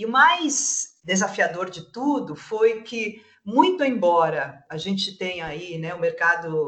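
A woman's fairly high voice at a very slow pace, with very wide pitch swings. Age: 50s. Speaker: entrepreneur and startup mentor. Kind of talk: casual panel discussion.

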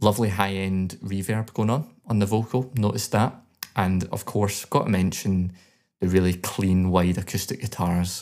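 A man with a Scottish accent speaks at a fairly low pitch with fairly even intonation, on a very clean recording with a silent background. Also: moderate pace. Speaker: podcast co-host, songwriter. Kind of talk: music review; casual chat.

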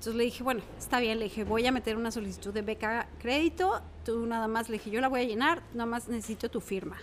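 Here a woman speaks very fast with hardly any pauses. Her fairly high voice keeps a fairly even intonation. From Mexico City. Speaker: environmental educator and former teacher. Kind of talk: interview, casual chat.

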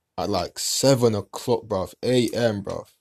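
A man with a London accent in a very clean recording with a silent background. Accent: London multicultural English. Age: 20s. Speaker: podcast host. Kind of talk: casual monologue. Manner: animated.

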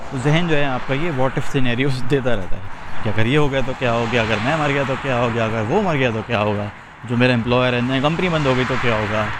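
A man's medium-pitched voice with ordinary pitch variation, noticeable background noise and audible room echo. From Pakistan. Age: 30s. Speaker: life coach. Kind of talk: casual monologue while walking. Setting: outdoors on a walk.

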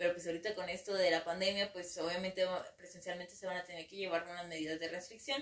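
Talking at a very fast pace, a woman with a fairly low pitch keeps her intonation fairly even while her loudness swings widely. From Mexico, Ciudad Victoria, Tamaulipas. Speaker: psychologist. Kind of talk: interview. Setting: studio. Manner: halting, many fillers.

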